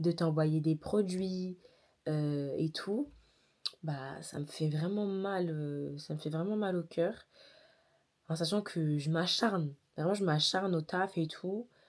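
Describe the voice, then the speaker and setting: A woman with a fairly low pitch and ordinary pitch variation speaks very slowly, leaving long, frequent pauses. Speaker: daily vlogger and content creator. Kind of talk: casual talk to camera. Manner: tired.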